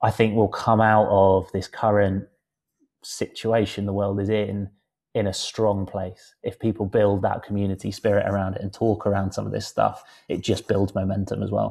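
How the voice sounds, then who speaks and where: At a moderate pace over a quiet background, the voice has a dark, mellow tone and monotone, flat intonation. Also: man, fairly low pitch for a man. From England, West Country. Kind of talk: casual chat.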